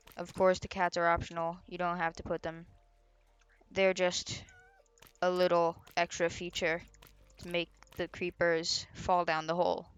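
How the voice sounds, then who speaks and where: With music in the background, a woman speaks at a fairly low pitch and a moderate pace, her intonation monotone and flat, with long, frequent pauses. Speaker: gaming video creator. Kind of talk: tutorial. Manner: casual, halting.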